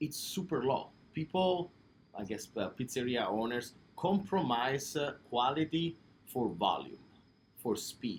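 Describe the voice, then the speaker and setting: A man with an Italian accent talks at a fairly slow pace, his intonation lively. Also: medium pitch for a man. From Italy, Naples. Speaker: pizzeria owner. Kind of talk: interview. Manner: hesitant, many fillers.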